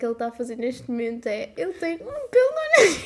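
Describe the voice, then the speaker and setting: Over noticeable background noise, a woman with a European Portuguese accent speaks at a very fast pace in a high pitch. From Portugal, Samora Correia (Ribatejo). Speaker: podcast co-host, TikTok creator. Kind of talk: casual chat.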